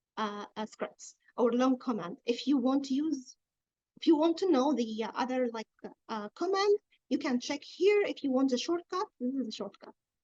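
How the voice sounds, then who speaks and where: With an Arabic accent, a woman speaks at a high pitch and moderate pace, her tone dark and mellow. Her intonation is lively, and the sound is dry and close with no echo. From Egypt. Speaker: blockchain developer and workshop instructor. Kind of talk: technical tutorial. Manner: halting with many fillers.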